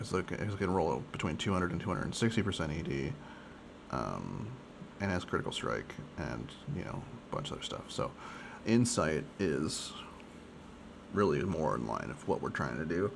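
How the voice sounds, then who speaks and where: With audible room echo around him, a man with a very deep, low voice and vocal fry talks at a moderate pace, his pitch swinging very widely between long, frequent pauses. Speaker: gaming streamer. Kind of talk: casual gameplay commentary. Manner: varies, tone and speech pattern can change dramatically; casual with many fillers.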